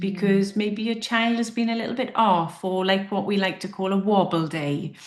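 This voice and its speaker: Over noticeable background noise, a woman with a Welsh accent talks at a moderate pace and medium pitch with fairly even intonation. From South Wales. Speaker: hypnotherapist and confidence coach. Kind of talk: interview answer.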